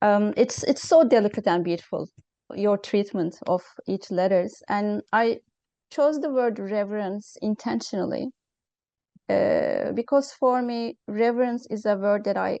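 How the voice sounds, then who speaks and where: With a non-native accent, a woman speaks at a fairly slow pace in a fairly high, dark, mellow voice with ordinary pitch variation, the sound dry and close with no echo against a quiet background. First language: not English. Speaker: interviewer. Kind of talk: interview. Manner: halting.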